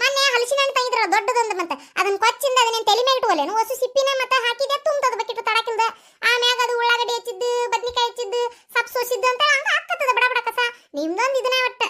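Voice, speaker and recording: A cartoonish character voice rattles along at a fairly quick pace. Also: woman, extremely high pitch for a woman. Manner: chatty, fast.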